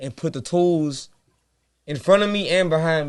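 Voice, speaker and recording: With a Louisiana accent, a man speaks using lively intonation. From US South, Baton Rouge, Louisiana. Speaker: rapper and singer. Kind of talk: casual interview.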